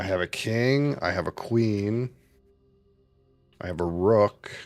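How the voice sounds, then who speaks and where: Mumbling at a very slow pace, a man with a fairly low pitch and ordinary pitch variation comes through a dry, close sound with no echo, music playing in the background. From Canada. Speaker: streamer. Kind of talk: live gameplay commentary. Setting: live stream.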